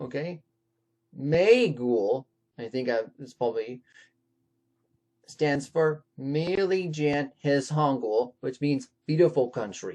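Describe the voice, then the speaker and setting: Set against a quiet background, this voice with a Californian accent moves at a very slow pace, broken by long, frequent pauses. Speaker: YouTuber. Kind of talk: tutorial. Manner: halting, many restarts.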